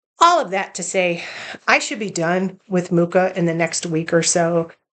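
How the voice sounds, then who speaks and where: A woman speaks in a normal speaking voice, fairly low in pitch, at a moderate pace. Her intonation stays fairly even over a quiet background. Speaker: cross-stitch vlogger. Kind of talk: casual show-and-tell vlog. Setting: home bedroom.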